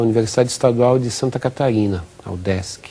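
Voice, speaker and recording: Medium pitch, ordinary pitch variation and a dark, mellow tone in a man's voice. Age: 60s. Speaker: physical education professor. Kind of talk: TV interview. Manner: halting, many repetitions.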